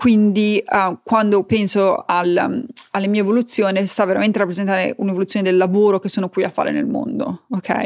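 A woman speaks at a fairly quick pace. Her medium-pitched voice keeps a fairly even intonation. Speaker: podcast host, life coach. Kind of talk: casual monologue. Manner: halting, with fillers.

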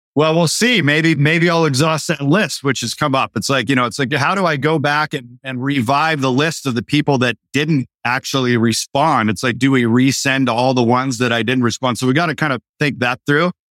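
A plain, everyday voice at a moderate pace with ordinary pitch variation, dry and close with no echo, on a very clean recording with a silent background. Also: man, medium pitch for a man, hardly any pauses. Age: 50s. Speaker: marketer and entrepreneur. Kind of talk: casual interview.

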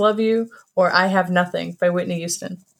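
A woman speaks in an ordinary speaking voice at medium pitch. Her pace is moderate and her intonation fairly even. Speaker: recurring segment presenter. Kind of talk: casual chat.

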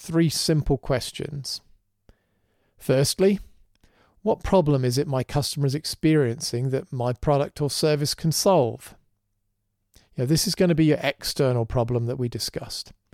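A man's fairly high, unremarkable speaking voice at a moderate pace with ordinary pitch variation, in a very clean recording with a dry, close sound, no echo, and a silent background. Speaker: podcast host. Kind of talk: conversational podcast and interview.

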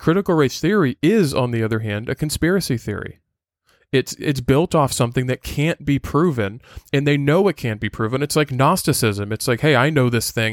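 On a very clean recording with a silent background and a dry, close sound with no echo, a man talks at a fairly quick pace and a fairly high pitch with lively intonation. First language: Portuguese. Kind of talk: solo podcast monologue. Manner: casual, with frequent fillers.

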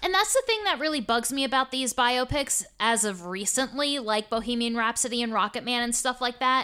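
A fairly quick pace in a very clean recording with a silent background. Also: woman, high pitch for a woman, ordinary pitch variation. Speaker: podcast host. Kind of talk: casual chat.

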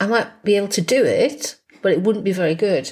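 In an English accent, the voice is somewhat breathy, fairly quick, with ordinary pitch variation. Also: woman. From England. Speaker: podcast co-host. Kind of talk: casual chat.

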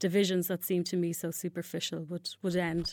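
A woman with a Dublin accent speaks at medium pitch and a moderate pace in a very clean recording with a silent background. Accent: Irish (Dublin). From Ireland, Dublin. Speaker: human rights researcher. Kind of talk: interview. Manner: halting, many fillers and repeats.

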